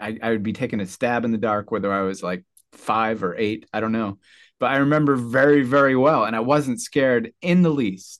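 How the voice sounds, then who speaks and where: On a very clean recording with a silent background, a man talks fairly quickly in a normal speaking voice at medium pitch with ordinary pitch variation. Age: 40s. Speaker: guitarist and sound healer. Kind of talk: casual interview.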